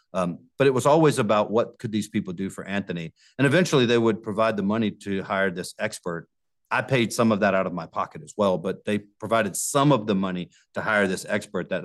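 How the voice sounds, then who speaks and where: A man with an American accent speaks at a fairly low pitch with ordinary pitch variation. His loudness swings widely against a quiet background. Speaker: criminal defense lawyer. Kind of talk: interview. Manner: halting.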